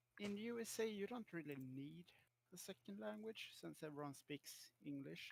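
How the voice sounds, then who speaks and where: Someone speaks at a moderate pace in a strong Swedish accent. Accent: thick Swedish. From Sweden. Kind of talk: casual chat.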